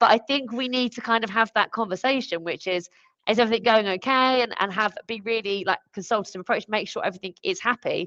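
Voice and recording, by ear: At a fast pace, a woman speaks at medium pitch with ordinary pitch variation and a fairly bright tone, in a dry, close sound with no echo.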